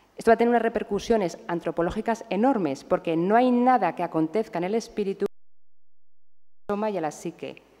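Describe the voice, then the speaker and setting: A woman with a dark, mellow tone and medium pitch speaks at a fairly quick pace. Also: ordinary pitch variation. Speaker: psychiatrist lecturer. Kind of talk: lecture. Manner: fast.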